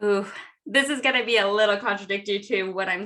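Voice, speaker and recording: Loud and very fast, a woman with an American accent speaks at a medium pitch in a bright, sharp tone. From Southern California. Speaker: entrepreneur and connection strategist. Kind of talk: interview. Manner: animated.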